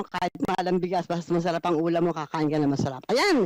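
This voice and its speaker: Against noticeable background noise, a woman's fairly low voice comes through dry and close, with no echo. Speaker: radio market-price reporter. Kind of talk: live radio segment banter.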